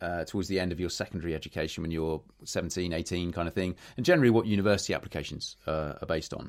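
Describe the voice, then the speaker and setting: With a British accent, a man speaks at a very deep, low pitch with ordinary pitch variation, captured on a very clean recording against a silent background. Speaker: podcast host. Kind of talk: casual chat.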